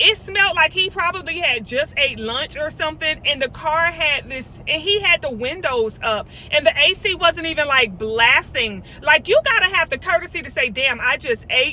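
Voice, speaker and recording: Over noticeable background noise, a woman with an extremely high pitch uses a raised, projected voice with lively intonation and an animated tone. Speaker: vlogger. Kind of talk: casual chat. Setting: in a car. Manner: loud.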